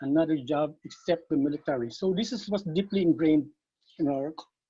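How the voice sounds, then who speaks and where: High-pitched man with a Visayan Filipino accent and lively intonation. His pace is moderate. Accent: Filipino (Cebuano) English. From Philippines, Cebu City. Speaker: martial arts master. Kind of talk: interview.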